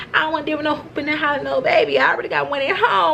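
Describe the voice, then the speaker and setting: A woman's high, animated voice at a very fast pace, with noticeable background noise. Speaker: vlogger, former nursing student. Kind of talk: casual vlog monologue.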